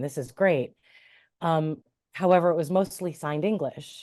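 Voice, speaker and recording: Speaking with a Midwestern American accent, a woman has a very deep, low pitch, a dark, mellow tone, ordinary pitch variation, and a moderate pace against a quiet background. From US Midwest, Cleveland, Ohio. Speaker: interfaith minister and sign language interpreter. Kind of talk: interview.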